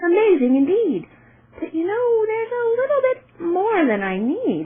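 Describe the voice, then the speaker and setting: A woman puts on a squeaky character voice, pitched extremely high and delivered at a moderate pace. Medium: read story.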